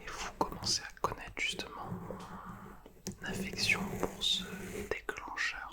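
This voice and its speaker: A man whispers at a very slow pace, with noticeable background noise behind him. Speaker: ASMR content creator. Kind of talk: ASMR brushing video, casual talk to camera. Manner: soft, close-mic whispered delivery.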